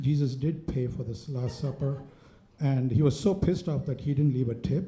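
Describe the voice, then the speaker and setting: A man speaks with an Indian accent in a dark, mellow tone. His voice is somewhat breathy, and the room echo is audible. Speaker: stand-up comedian. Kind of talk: stand-up. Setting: stage with audience.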